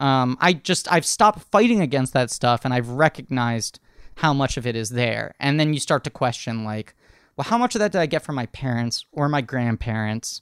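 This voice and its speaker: With an American accent, a man uses a normal speaking voice at medium pitch, lively intonation and a moderate pace. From New York City. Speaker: podcast host and actor. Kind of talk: casual chat.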